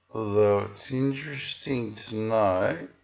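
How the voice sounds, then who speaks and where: Fairly low-pitched man with an Australian accent, audible room echo around him. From Western Australia. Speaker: video blogger. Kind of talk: casual commentary on a screen. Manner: casual with fillers.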